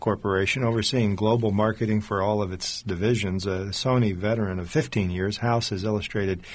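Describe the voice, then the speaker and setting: A man uses an ordinary speaking voice, fairly low in pitch. He talks at a fairly quick pace with fairly even intonation. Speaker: radio host. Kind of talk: radio interview.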